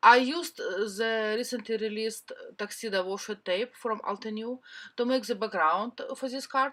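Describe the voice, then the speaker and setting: Woman's fairly high voice with a bright, sharp tone and a non-native accent, ordinary pitch variation and a moderate pace, on a very clean recording with a silent background. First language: not English. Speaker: cardmaking crafter. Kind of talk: craft tutorial voiceover.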